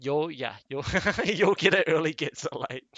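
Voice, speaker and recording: Very slow speech with a New Zealand accent. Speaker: animation series creator. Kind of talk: casual livestream chat.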